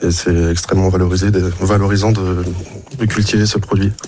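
With music in the background, a man talks at a moderate pace in a fairly low pitch. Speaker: mussel farmer. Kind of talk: interview.

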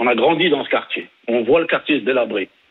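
A man talks at a fairly quick pace. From southern France, Nîmes. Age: 40s. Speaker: caller, local resident. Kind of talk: radio call-in.

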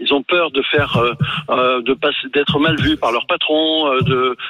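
A man talks at a fairly slow pace in a monotone, flat delivery, his pitch fairly high. Noticeable background noise runs underneath. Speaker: caller, retired waste collector. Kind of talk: radio call-in opinion. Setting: phone call.

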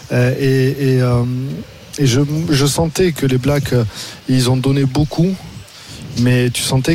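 A man at a very slow pace with fairly even intonation, audible room echo and noticeable background noise. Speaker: former rugby player, pundit. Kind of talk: casual radio analysis. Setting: stadium broadcast.

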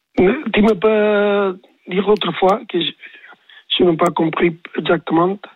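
A man speaks at a very slow pace in a high voice with ordinary pitch variation. His loudness stays very even throughout. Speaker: tennis coach. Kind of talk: radio interview. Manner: halting, searching for words.

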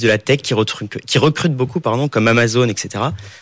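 A man with an ordinary speaking voice, medium pitch, and ordinary pitch variation. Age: 20s. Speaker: business school student. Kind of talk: interview questions. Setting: studio.

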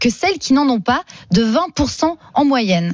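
A woman speaks at a high pitch. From Toulouse, southern France. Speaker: radio journalist. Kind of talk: news reading.

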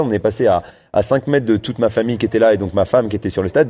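A man's medium-pitched voice with a dark, mellow tone against a quiet background. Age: 30s. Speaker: elite distance runner. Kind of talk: interview.

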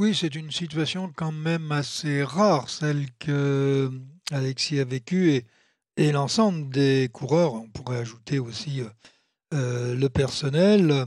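This man's voice is fairly high in pitch, with ordinary pitch variation. He speaks at a very slow pace. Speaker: cycling pundit, former team manager. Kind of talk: casual chat.

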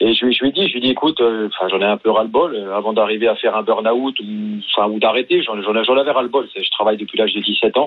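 Medium in pitch with fairly even intonation, a man speaks at a very fast pace. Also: hardly any pauses. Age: 40s. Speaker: paralympic paracanoe athlete. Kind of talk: radio interview. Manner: casual, hesitant.

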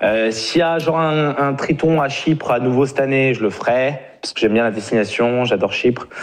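A man talks at a fairly quick pace with a medium pitch and ordinary pitch variation. It is a plain, everyday voice. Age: 30s. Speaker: professional poker player and vlogger. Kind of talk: casual chat.

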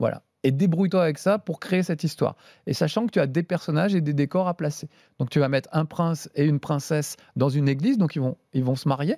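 A man talks at a very fast pace with a fairly high pitch, a dark, mellow tone, very even loudness and ordinary pitch variation, in a very clean, silent-background recording that is dry and close with no echo. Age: 50s. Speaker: TV host and streamer. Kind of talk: casual chat.

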